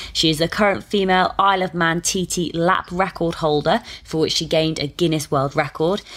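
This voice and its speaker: A woman with a normal speaking voice and fairly low pitch talks fairly quickly, hardly pausing, her intonation fairly even. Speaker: podcast host. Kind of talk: podcast interview.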